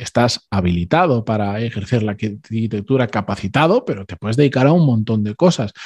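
Here a man speaks at a moderate pace with a dark, mellow, somewhat breathy tone. The sound is dry and close, with no echo. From Spain. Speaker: former architect. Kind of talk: interview. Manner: halting.

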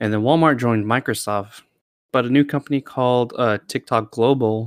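An ordinary speaking voice from a man at medium pitch, with fairly even intonation and a moderate pace. The sound is dry and close, with no echo. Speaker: podcast host. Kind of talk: casual chat. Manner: joking, laughs often.

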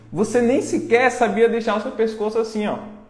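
This man speaks at a moderate pace with a high pitch. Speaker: online marketing course seller. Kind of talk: live-stream pep talk. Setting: live stream. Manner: urgent, confrontational, motivational.

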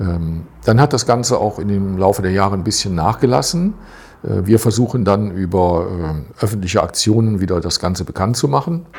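Fairly low in pitch and somewhat breathy, a man speaks at a moderate pace. His pitch varies in an ordinary way. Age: 60s. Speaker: retired volunteer advisor. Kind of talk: interview.

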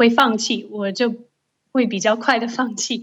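A woman's fairly high-pitched voice. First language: English (speaking Chinese). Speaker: Chinese-English translator. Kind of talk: casual chat.

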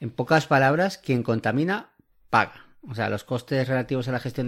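The recording is very clean and the background silent. A man talks with pitch that varies in the usual way. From Argentina. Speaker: podcast host. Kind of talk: casual explanatory podcast chat.

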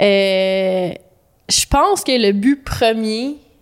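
Her pitch is medium. The woman's pitch shifts in an ordinary way. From Quebec, Laurentians (Saint-Joseph-du-Lac). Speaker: graphic designer. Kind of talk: interview.

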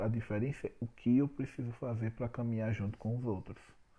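The voice is a man's and somewhat breathy. He keeps a moderate pace. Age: 30s. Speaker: business consultant podcaster. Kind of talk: solo podcast talk. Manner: informal and chatty.

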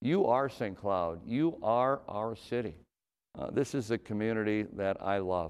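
A man with an Upper Midwest accent, fairly low pitch, and ordinary pitch variation, over a quiet background. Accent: Upper Midwest American. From Minnesota. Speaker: city mayor. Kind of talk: annual address speech. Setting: virtual broadcast. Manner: hesitant with many fillers.

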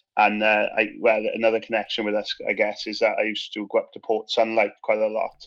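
A man in a South Wales accent, with hardly any pauses. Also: fairly quick pace. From Wales, Swansea. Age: 30s. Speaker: teacher. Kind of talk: casual chat.

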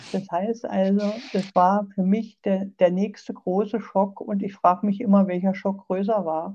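Somewhat breathy and dark, mellow in tone, a woman speaks at a fairly slow pace with monotone, flat intonation. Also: medium pitch for a woman. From eastern Germany. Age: 60s. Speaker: sarcoma patient and patient advocate. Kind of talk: interview, personal story.

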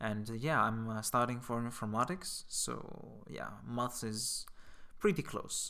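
A man speaks with a Greek accent. His pace is fairly slow. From Greece. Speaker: volunteer. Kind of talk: interview. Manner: halting, many fillers.

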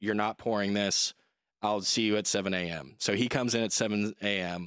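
A plain, everyday voice from a man with an American accent, fairly low-pitched and at a moderate pace, in a very clean, silent-background recording with dry, close sound and no echo. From Dallas, Texas. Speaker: construction superintendent. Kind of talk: casual interview. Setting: studio.

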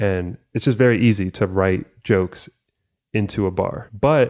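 A man with an American accent and a plain, everyday voice speaks fairly slowly at a fairly low pitch with ordinary pitch variation, on a very clean recording with a silent background. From US, first-generation Cuban American. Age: 20s. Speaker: podcast co-host. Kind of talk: casual chat.

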